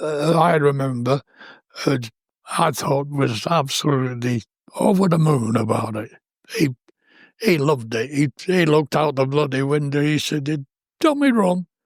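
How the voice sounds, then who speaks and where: Speaking at a moderate pace with a British accent, a man with a fairly high pitch and ordinary pitch variation leaves long, frequent pauses. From India. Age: 80s+. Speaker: war veteran. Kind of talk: interview. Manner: halting.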